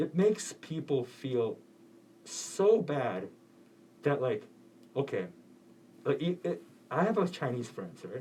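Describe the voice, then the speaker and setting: At a very slow pace with long, frequent pauses, a man's fairly high pitch makes very wide swings, touched with vocal fry. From South Korea. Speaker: college radio co-host. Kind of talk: casual chat. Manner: halting.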